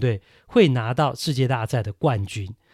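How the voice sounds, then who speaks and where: A man with a Taiwanese accent speaks at a moderate pace in a very clean recording with a silent background. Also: dry, close sound with no echo. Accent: Taiwanese Mandarin. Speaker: baseball podcast host. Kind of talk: solo podcast commentary. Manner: conversational with many fillers.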